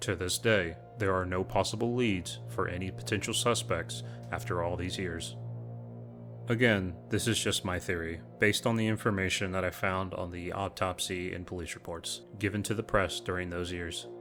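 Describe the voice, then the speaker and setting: A man's very deep, low voice at a moderate pace, with music behind it. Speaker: true crime channel host. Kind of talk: true crime narration.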